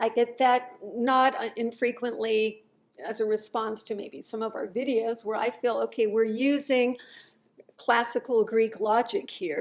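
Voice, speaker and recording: In a plain, everyday voice, a woman speaks at a fairly high pitch and a fairly slow pace, her intonation fairly even. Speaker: channel host, former medical doctor. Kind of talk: interview questions.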